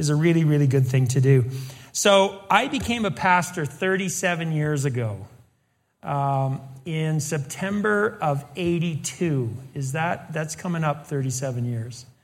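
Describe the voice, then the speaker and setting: Heard with audible room echo, a man speaks in a fairly high-pitched voice with ordinary pitch variation. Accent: American. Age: 60s. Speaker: pastor and teacher. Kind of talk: sermon.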